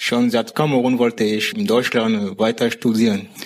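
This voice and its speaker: Over noticeable background noise, the speaker uses lively intonation at a fairly slow pace. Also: man. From Cameroon. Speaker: university dropout, now in vocational training. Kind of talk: interview. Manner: halting.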